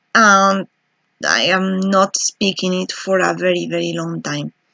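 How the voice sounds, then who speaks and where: With a non-native accent, a woman speaks at a fairly slow pace in a dry, close sound with no echo. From Spain, Basque Country. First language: Spanish or Basque. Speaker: PhD student researcher. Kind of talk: video self-introduction monologue. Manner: halting with fillers.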